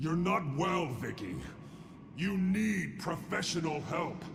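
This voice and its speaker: A man speaks at a fairly slow pace in a put-on character voice, pitched high for a man. Background noise is clearly audible. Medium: video game. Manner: calm, grave.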